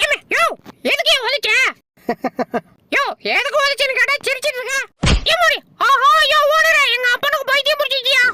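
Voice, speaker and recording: A man puts on a character voice pitched extremely high. He delivers it at a moderate pace. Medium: voice reel. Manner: brash, cheeky, fast.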